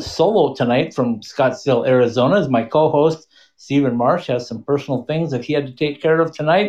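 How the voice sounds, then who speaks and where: At a moderate pace and with hardly any pauses, a man speaks at a fairly high pitch with ordinary pitch variation. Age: 50s. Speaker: hockey podcast host. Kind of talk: casual chat. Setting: live online stream with call-ins.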